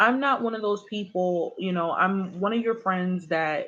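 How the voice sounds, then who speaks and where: Against a quiet background, a woman with a normal speaking voice and medium pitch speaks at a moderate pace with ordinary pitch variation. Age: 20s. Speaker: tarot reader. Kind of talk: live stream chat. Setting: live stream. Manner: casual.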